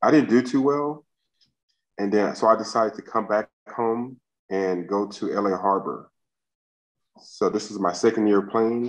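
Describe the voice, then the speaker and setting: A man's fairly low voice at a moderate pace, with long, frequent pauses, ordinary pitch variation and a quiet background. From US West Coast, South Central Los Angeles; California. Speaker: former college basketball player; interview guest. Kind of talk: casual interview. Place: home room. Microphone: video call.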